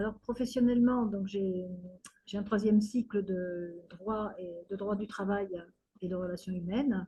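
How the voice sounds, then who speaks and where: A woman's somewhat breathy, dark, mellow tone at medium pitch, with fairly even intonation at a fairly slow pace. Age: 60s. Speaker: retired community activist. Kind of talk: interview testimony. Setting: video call. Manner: hesitant, many fillers.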